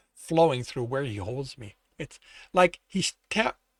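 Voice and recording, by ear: Reading aloud in a natural voice, with lively intonation against a quiet background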